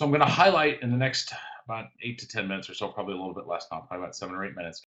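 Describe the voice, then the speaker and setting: At a very fast pace, a man with a medium pitch talks with very wide pitch swings and big swings in loudness. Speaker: education author and grading consultant. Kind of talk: webinar presentation. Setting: video call. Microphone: choppy connection.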